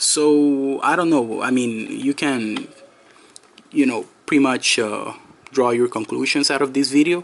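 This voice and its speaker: A man speaks at a fairly slow pace in a fairly high pitch. His intonation is fairly even and his loudness very even. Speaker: product reviewer. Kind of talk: product review. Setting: indoors, in a room. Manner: hesitant, many fillers.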